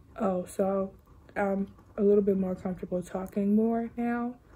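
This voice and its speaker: A woman whispers in a soft-spoken, somewhat breathy way. Her pace is moderate. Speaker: vlogger and musician. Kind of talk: vlog. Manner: whispering, soft; halting, many fillers.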